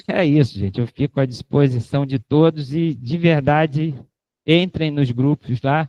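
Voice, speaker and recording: Dry and close with no echo, a man's fairly high voice carries a dark, mellow tone, moving at a fairly slow pace with ordinary pitch variation. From Rio de Janeiro, Brazil. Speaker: professor. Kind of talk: lecture with Q&A. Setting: lecture hall with audience, filmed and streamed. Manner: casual, joking.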